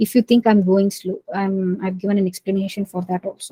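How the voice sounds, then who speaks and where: Fairly quick and flat in intonation, a woman speaks at a medium pitch in a somewhat breathy, dark, mellow tone. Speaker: volunteer instructor. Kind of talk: lecture. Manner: halting.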